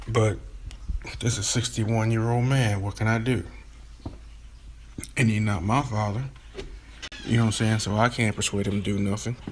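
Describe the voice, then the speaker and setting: Speaking at a fairly quick pace, a man keeps a monotone, flat intonation broken by long, frequent pauses. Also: fairly low pitch for a man. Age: 40s. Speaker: member of a historic family speaking as a guest. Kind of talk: livestream interview.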